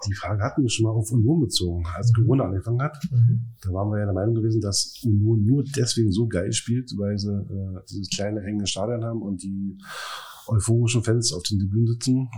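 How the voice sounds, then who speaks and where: Fairly quick and somewhat breathy, a man talks with a fairly low pitch, a dark, mellow tone and fairly even intonation. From Berlin area (Brandenburg). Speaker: football fan. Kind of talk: casual chat.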